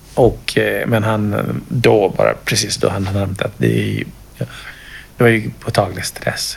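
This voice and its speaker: A man with a non-native accent at a fairly slow pace, amid noticeable background noise. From Kenya. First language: not Swedish (speaking Swedish). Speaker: project ambassador, parent sharing mental health experience. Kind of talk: interview testimony. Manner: halting, with fillers.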